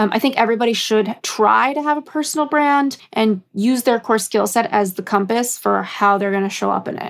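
An ordinary speaking voice with an American accent moves at a fairly quick pace. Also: woman. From US West Coast, Los Angeles. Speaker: career coach. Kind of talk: interview.

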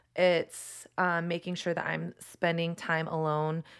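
A plain, everyday voice with an American accent and fairly even intonation comes through on a very clean recording with a silent background. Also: woman. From Texas. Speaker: podcast host, author and photographer. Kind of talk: interview conversation.

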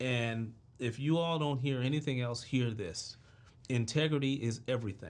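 An ordinary speaking voice: a man with an American accent talks at a moderate pace, his medium pitch showing ordinary pitch variation. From Washington DC (Southeast). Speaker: entrepreneur. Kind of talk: interview.

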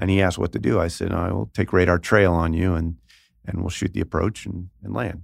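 A man's very deep, low voice with an American accent, fairly quick and fairly even in intonation, on a very clean recording with a silent background. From US, Northern California Bay Area. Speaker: retired Marine fighter pilot. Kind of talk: interview. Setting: studio.

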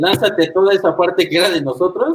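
A man speaks at a fairly quick pace in a high pitch. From Toluca, central Mexico (born in Monterrey). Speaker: jazz saxophonist. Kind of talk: casual interview chat.

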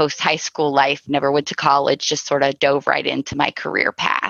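A woman with a Midwestern American accent, very deep and low in pitch, with vocal fry. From US Midwest, Cincinnati, Ohio. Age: 40s. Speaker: insurance agency owner. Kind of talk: interview conversation.

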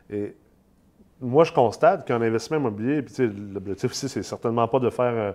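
Against a quiet background, a man's voice carries a dark, mellow tone. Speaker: podcast host, real estate investment company CEO. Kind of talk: casual interview; promotional pitch.

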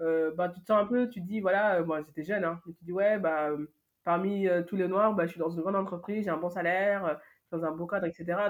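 A woman speaks in a plain, everyday voice at a fairly low pitch. Her intonation stays fairly even. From France, Paris. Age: 20s. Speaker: event agency founder. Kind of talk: interview testimony.

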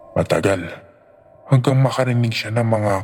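A man talks at a moderate pace with fairly even intonation. His tone is dramatic. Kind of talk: ghost story narration. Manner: tense, dramatic, building suspense.

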